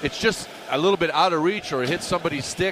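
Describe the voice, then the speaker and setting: Over noticeable background noise, a man talks at a fairly quick pace in a fairly high pitch. His tone is relaxed, with ordinary pitch variation. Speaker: radio color analyst, former hockey player. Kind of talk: live sports commentary analysis. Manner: conversational, hesitant, filler words, relaxed.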